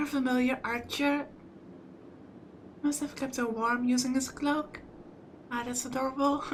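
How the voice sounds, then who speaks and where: The voice comes in monotone, flat intonation with long, frequent pauses, set against noticeable background noise. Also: woman, high pitch for a woman, moderate pace. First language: not English. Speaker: visual novel let's play streamer. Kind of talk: reading aloud with commentary.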